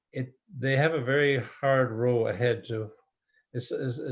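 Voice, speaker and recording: A man's somewhat breathy voice with fairly even intonation, over a quiet background. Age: 80s+. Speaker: author. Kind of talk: interview Q&A. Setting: video call. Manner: halting.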